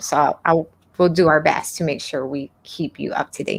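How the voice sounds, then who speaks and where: With a slight Hawaiian accent, the speaker mumbles at a moderate pace. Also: woman. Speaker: web design instructor. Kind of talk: live stream Q&A. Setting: live stream. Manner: mumbling.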